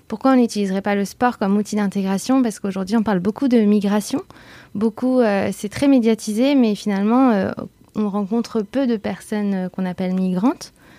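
This is a plain, everyday voice at a fairly quick pace. The intonation stays fairly even. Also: woman, medium pitch for a woman. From France, Bordeaux. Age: 30s. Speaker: association co-founder. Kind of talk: interview.

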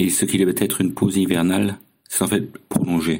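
Very deep and low in pitch, a man speaks at a fairly quick pace with a dark, mellow tone. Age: 50s. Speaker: long-distance cycling traveller. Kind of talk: recorded personal diary testimony.

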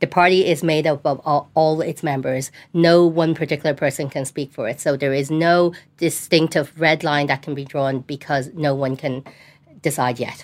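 On a very clean recording with a silent background, a woman with a Dublin accent speaks at a very deep, low pitch with fairly even intonation. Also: moderate pace. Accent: Dublin Irish. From Dublin, Ireland. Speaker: local politician. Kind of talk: studio panel discussion. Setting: studio.

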